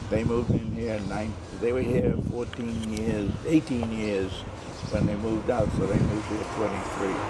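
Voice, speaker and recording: Over noticeable background noise and audible room echo, a man with an American accent talks at a moderate pace, his fairly low pitch held in fairly even intonation. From US Northeast, Boston. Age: 80s+. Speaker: family elder giving tour. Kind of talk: casual chat. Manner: halting.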